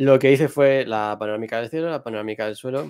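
Speaking at a fairly quick pace, a man is heard with a quiet background behind him. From Madrid, Spain; Spain. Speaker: astrophotographer; guest. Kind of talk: tutorial. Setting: livestream. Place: home room. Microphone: video call.

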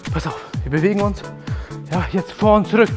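Clear music is audible in the background. A man talks over it at a moderate pace. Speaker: thai boxing trainer. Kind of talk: workout instruction. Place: gym.

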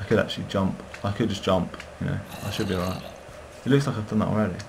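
Someone talks at a very fast pace with ordinary pitch variation. Noticeable background noise runs behind the voice. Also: man, fairly low pitch for a man. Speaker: gamer. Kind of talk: gameplay commentary. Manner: casual.

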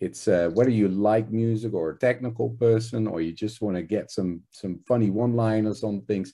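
Over a quiet background, a man with a fairly low pitch and a dark, mellow tone talks at a moderate pace with hardly any pauses. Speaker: interviewer. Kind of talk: interview. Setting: video call. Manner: enthusiastic. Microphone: video call.

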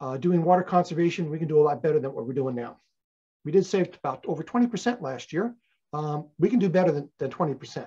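A man with an American accent speaks fairly quickly in a dark, mellow tone at a fairly high pitch. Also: lively intonation. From US West Coast (Los Angeles area). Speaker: retired teacher and environmental volunteer. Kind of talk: lecture. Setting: presentation to a community group. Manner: hesitant with frequent fillers.

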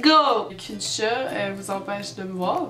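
A woman with a Quebec accent speaks with lively intonation over clear music in the background. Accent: Québécois French. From Quebec, Canada. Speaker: vlogger. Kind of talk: casual talk to camera. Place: home room. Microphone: webcam.

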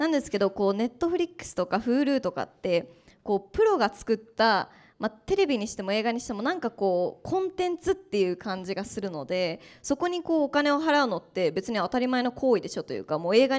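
Against a quiet background, a woman talks at a fairly quick pace in a fairly high voice with very wide pitch swings. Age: young. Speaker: startup founder; panelist. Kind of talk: panel discussion. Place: classroom. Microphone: handheld.

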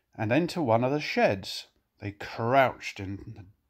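Lively intonation marks a natural reading voice heard over a quiet background.

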